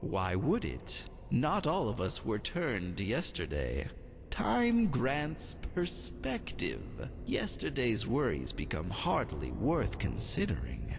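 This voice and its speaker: Using a put-on character voice, a man speaks at a fairly slow pace over loud background noise. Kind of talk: aristocratic drawl. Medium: solo performance. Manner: languid, silky, insinuating.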